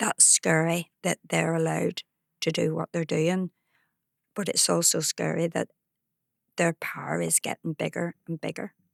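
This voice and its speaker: At a moderate pace with long, frequent pauses, a woman speaks with a Belfast accent in a dry, close sound with no echo. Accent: Belfast Northern Irish. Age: 70s. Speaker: activist. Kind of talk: interview conversation.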